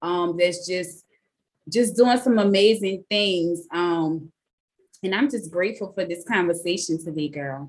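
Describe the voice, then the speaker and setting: Fairly slow delivery from a woman, ordinary pitch variation throughout. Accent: New Orleans. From New Orleans. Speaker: podcast host. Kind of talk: casual interview chat. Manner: animated, enthusiastic.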